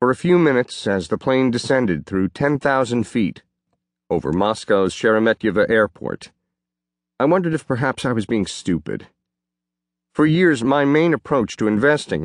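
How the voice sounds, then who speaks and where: In a normal speaking voice, a man talks at a medium pitch and moderate pace with lively intonation, the sound dry and close with no echo against a quiet background. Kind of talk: audiobook reading of a first-person memoir. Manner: steady, even narration with measured pacing.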